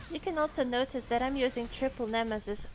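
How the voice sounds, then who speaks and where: Over music in the background, a woman with a non-native accent talks at a moderate pace in a high pitch with ordinary pitch variation. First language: not English. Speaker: game guide narrator. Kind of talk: gameplay tutorial voice-over.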